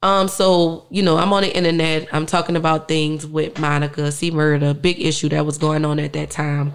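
A woman with a New Orleans accent, very deep and low in pitch, flat and monotone, at a moderate pace with hardly any pauses, against a quiet background. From New Orleans, uptown. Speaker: musician; interview guest. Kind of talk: interview. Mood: emotional, reflective about family loss. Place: studio. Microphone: studio mic.

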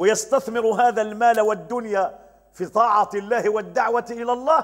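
A moderate pace against a quiet background. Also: man. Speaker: religious teacher. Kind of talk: religious lesson. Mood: cheerful, smiling. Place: home room. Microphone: lapel.

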